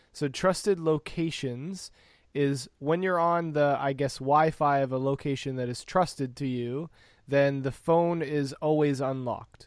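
Fairly slow and fairly even in intonation, a man speaks in an unremarkable speaking voice at a fairly high pitch on a very clean recording with a silent background. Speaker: podcast host. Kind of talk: casual banter podcast chat.

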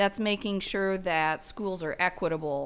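A woman with an American accent and an ordinary speaking voice talks at a fairly slow pace with a medium pitch and ordinary pitch variation on a very clean recording with a silent background. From Oklahoma. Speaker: political candidate and nurse practitioner. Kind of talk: casual interview.

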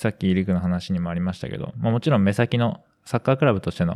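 A man with an ordinary speaking voice talks at a fairly quick pace in a fairly low pitch with ordinary pitch variation. The recording is very clean, with a silent background. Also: dry, close sound with no echo. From western Tokyo, Japan. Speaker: amateur footballer and podcast co-host. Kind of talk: casual podcast chat.

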